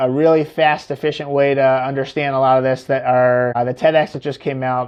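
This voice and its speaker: Medium in pitch, a man's voice moves at a fairly quick pace. His intonation is monotone and flat. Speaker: neuro-optometrist. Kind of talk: podcast interview. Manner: fast.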